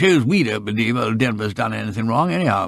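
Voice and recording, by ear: A man does a put-on character voice at a fairly low pitch, with vocal fry and a fairly bright tone. His intonation is lively at a fairly quick pace, on a very clean recording with a silent background.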